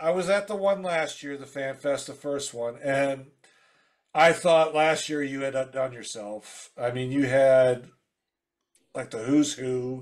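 Over a quiet background, a man with a fairly high voice talks at a fairly slow pace, with ordinary pitch variation and big swings in loudness. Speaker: podcast host. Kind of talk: casual chat. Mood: friendly, admiring. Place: home room.

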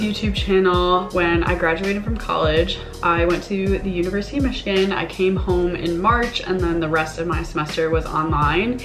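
A woman talks at a moderate pace with hardly any pauses. Clear music plays in the background. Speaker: vlogger. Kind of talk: casual vlog chat. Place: home room. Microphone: camera far.

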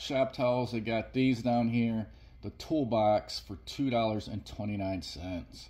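A man speaks at a fairly slow pace in a dark, mellow tone. His voice is somewhat breathy, with fairly even intonation. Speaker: shopping deals vlogger. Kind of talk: product walkthrough commentary. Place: shop. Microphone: phone near.

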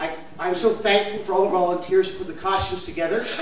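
A man speaks amid light background noise, with audible echo in the room. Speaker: children's pastor. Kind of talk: welcome announcement to audience. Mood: warm, upbeat. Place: church.

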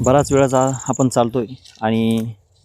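The man speaks in a monotone, flat intonation. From Maharashtra, Shirdi area. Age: 30s. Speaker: YouTube devotional vlogger. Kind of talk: walking vlog narration. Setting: outdoors in farm fields.

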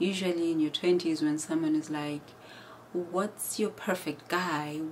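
A woman's fairly low voice at a very slow pace, over light background noise. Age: 30s. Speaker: YouTuber and healthcare worker. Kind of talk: vlog monologue. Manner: animated. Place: home room. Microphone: phone near.

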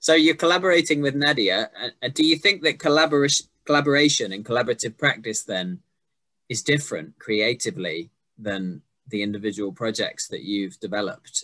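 Against a quiet background, a man with a London accent speaks at a fairly quick pace and a fairly high pitch. His bright, sharp tone jumps through very wide pitch swings. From England, working-class. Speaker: poet and interviewer. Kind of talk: casual interview. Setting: video call. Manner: jokey. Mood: curious, engaged. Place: home room. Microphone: video call.

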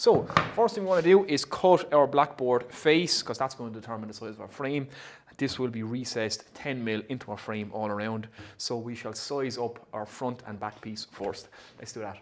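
A man at a moderate pace with ordinary pitch variation, big swings in loudness and light background noise. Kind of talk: tutorial. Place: workshop.

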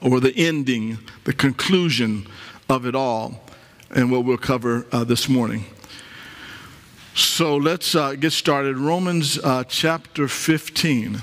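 A man at a very slow pace, with long, frequent pauses, very even loudness and ordinary pitch variation. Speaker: pastor. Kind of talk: sermon. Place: church. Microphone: headset.

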